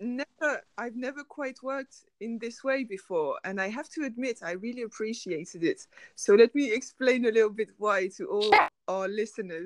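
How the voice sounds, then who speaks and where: At a moderate pace, a woman with a plain, everyday voice speaks at a fairly high pitch with lively intonation and big swings in loudness, in a dry, close sound with no echo. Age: 30s. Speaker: graphic designer. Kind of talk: interview.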